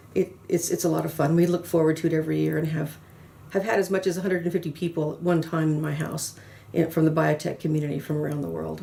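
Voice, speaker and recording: Delivered at a very fast pace with an American accent, the voice carries a dark, mellow tone and vocal fry. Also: woman, very deep, low pitch for a woman. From US South, New Orleans, Louisiana. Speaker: pharmaceutical consultant and trainer. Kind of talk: interview. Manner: frequent fillers and repetitions; animated.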